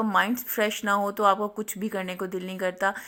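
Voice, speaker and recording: On a very clean recording with a silent background, a woman speaks at medium pitch with monotone, flat intonation. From Pakistan. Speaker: cooking and family vlogger, housewife. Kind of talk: recipe tutorial voice-over. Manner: halting, hesitant.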